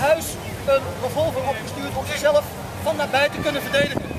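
The speaker keeps a moderate pace against loud background noise. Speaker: weapons demonstrator presenting WWII weapons. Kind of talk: live demonstration commentary to a crowd. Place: open country.

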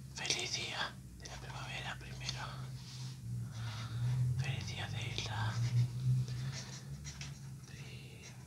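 Loud background noise runs under very slow speech broken by long, frequent pauses. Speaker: ASMR creator. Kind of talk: ASMR whispered chat while drawing. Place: home room.

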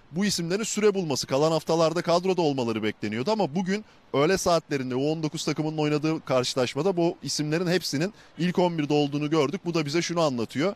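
The man's pitch is fairly high and varies in an ordinary way, with very even loudness. He talks very fast with hardly any pauses, and the sound is dry with no echo. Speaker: sports reporter. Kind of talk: live report. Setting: outdoors. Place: stadium. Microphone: handheld.

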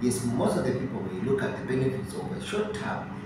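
Over clear background noise and audible room echo, a man speaks at a medium pitch and moderate pace with big pitch swings.

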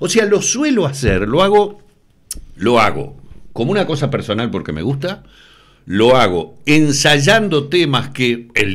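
At a moderate pace, a man with a Uruguayan accent speaks with very wide pitch swings and vocal fry. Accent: Uruguayan Spanish (Rioplatense). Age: 60s. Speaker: TV news presenter. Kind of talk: interview. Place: studio. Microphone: studio mic.

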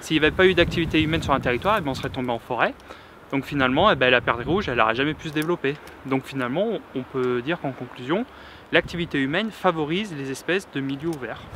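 Light background noise sits behind this recording. A man talks at a very fast pace. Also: ordinary pitch variation, dry sound with no echo. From another French region, not the local one. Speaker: hunter and university supervisor. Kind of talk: interview. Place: open country.

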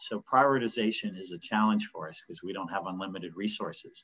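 A man with an American accent, a plain, everyday voice at medium pitch, at a fairly quick pace. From Pittsburgh, US. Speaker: business owner. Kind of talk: webinar panel discussion. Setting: video call.

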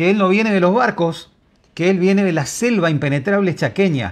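Against a quiet background, a man speaks at a moderate pace in an animated tone, his high pitch showing ordinary variation and his loudness very even. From Argentina. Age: 50s. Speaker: online journalist. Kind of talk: video commentary. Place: home room. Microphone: lapel.

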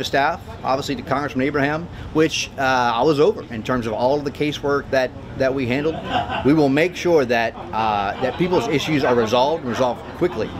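A man speaks fairly quickly, his pitch varying in an ordinary way, with noticeable background noise around him. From rural Louisiana. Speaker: congressional candidate; candidate. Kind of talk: interview. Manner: hesitant with fillers. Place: street.

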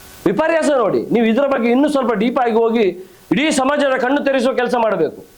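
A man's extremely high voice in audible room echo with noticeable background noise. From coastal Karnataka, Karkala area. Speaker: local politician. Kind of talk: press conference statement. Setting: press conference with reporters.

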